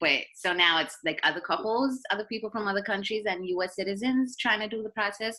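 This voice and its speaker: The speaker is a woman with a bright, sharp tone. She talks fairly quickly, with vocal fry. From South Africa, Cape Town. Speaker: doula. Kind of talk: casual interview.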